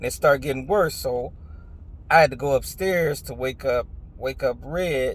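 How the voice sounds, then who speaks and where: The speaker is a man with a fairly high, somewhat breathy voice. He keeps a moderate pace and ordinary pitch variation. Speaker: vlogger sharing health story. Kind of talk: testimony. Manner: casual, conversational.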